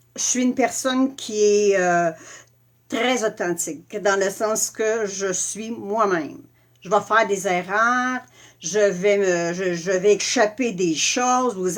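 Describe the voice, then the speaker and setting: At a very slow pace, a speaker with a Quebec accent talks with ordinary pitch variation on a very clean recording with a silent background. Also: woman. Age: 60s. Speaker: makeup and skincare presenter. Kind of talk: live product tutorial. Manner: casual, hesitant with many fillers.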